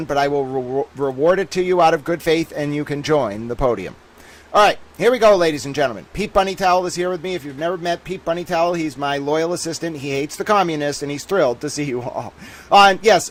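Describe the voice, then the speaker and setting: Over noticeable background noise, a man talks at a very fast pace in a fairly high pitch. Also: ordinary pitch variation. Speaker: trivia announcer, broadcaster. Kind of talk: playful showman patter. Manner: fast talker; rhythmic, lyrical announcer delivery.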